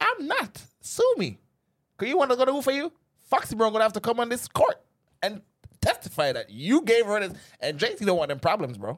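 A man with a Jamaican accent talks at a fairly quick pace in an animated tone, with long, frequent pauses. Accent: Jamaican patois. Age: 30s. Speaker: podcast guest. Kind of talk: casual chat.

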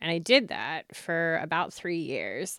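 On a very clean recording with a silent background and a dry, close sound without echo, a woman with an American accent speaks at a very slow pace in a fairly low pitch with a bright, sharp tone. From US Pennsylvania. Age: 30s. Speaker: podcast host. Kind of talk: casual conversation, podcast discussion.

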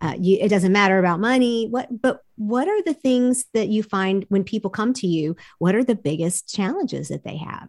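Speaking at a moderate pace with hardly any pauses, a woman with an American accent and an unremarkable speaking voice uses lively intonation at a medium pitch, recorded in a dry, close sound with no echo. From United States. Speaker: podcast host. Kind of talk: interview, casual chat.

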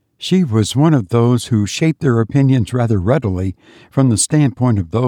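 This is someone reading aloud. They use a natural voice.

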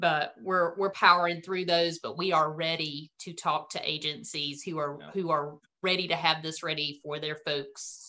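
Her tone bright and sharp, a woman with a North Carolina accent speaks at a very deep, low pitch with fairly even intonation. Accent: Southern North Carolina drawl. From US South, rural North Carolina. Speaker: business founder and CEO, former dispatcher. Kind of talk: interview.

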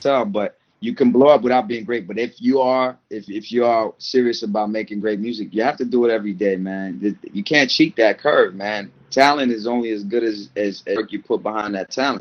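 Hardly pausing at all, a man with a medium pitch keeps a moderate pace and fairly even intonation. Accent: American. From Maryland, US (Montgomery and PG County). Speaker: rapper. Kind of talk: interview. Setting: podcast interview. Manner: halting, repeats words.

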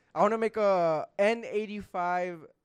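A man with an American accent speaks with ordinary pitch variation against a quiet background. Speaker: podcast co-host. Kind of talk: casual banter. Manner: fast talker; animated.

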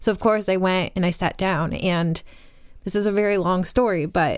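A woman with an American accent has an unremarkable speaking voice at a medium pitch. She talks at a moderate pace with fairly even intonation, on a very clean recording with a silent background. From upstate New York. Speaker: spiritual teacher. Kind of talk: casual chat.

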